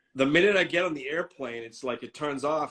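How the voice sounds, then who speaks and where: With a fairly high pitch, a man talks at a very fast pace. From Boston, US (Greek American family). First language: Greek. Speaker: content creator. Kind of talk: interview. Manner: casual, relaxed.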